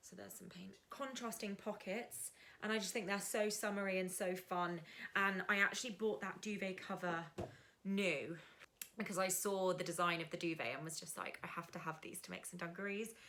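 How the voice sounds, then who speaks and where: A woman with an English accent at medium pitch, talking at a fairly quick pace with big swings in loudness. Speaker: sewing vlogger. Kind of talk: casual tutorial vlog. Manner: animated.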